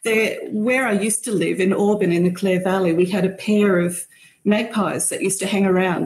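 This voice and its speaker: A somewhat breathy woman with an Australian accent, medium in pitch, at a fairly quick pace with ordinary pitch variation. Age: 60s. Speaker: bird photographer. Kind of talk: casual chat.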